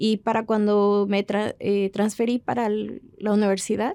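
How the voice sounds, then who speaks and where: A woman at medium pitch speaks at a moderate pace in a dark, mellow tone with monotone, flat intonation and a dry, close sound with no echo. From Mexico, raised abroad (Brazil, China, Chile). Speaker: bioengineering professor. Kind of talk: personal testimony. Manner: hesitant, frequent fillers.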